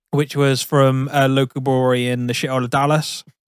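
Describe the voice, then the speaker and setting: A man with a Somerset accent speaks at a fairly high pitch in a monotone, flat intonation. The sound is dry and close, with no echo. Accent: Somerset twang. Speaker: podcast co-host. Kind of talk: casual chat. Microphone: poor audio quality.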